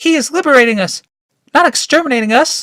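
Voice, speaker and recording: A man performs a put-on character voice at a very fast pace and an extremely high pitch. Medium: read story. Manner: prim.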